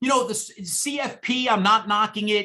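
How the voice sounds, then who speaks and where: A man's raised, projected voice in a New York accent, animated in tone. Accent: New York (Bronx) accent, noticeable. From New York City, the Bronx. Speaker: exam prep instructor. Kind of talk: guest talk to student club. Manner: informal.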